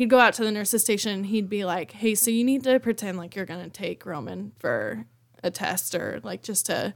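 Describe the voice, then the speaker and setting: A woman speaks in a plain, everyday voice at a medium pitch and a fairly quick pace. The recording is very clean, with a silent background. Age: 20s. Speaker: new mother. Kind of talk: casual chat. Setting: studio.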